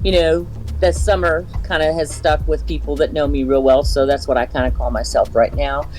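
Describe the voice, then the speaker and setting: Music can be heard in the background. Over it, a woman talks at a moderate pace. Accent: American. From Southwest Ohio, US Midwest. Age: 60s. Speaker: interview guest sharing paranormal stories. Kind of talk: casual interview.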